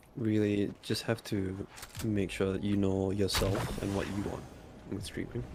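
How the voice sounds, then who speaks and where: Soft-spoken, a man talks at a fairly low pitch. His pace is moderate. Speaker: podcast co-host and streamer. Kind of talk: casual chat.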